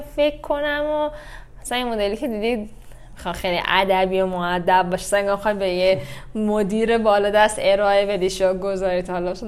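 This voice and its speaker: At a moderate pace, a woman talks in an unremarkable speaking voice, her medium pitch showing ordinary variation. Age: 30s. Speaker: yoga instructor. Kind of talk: casual chat.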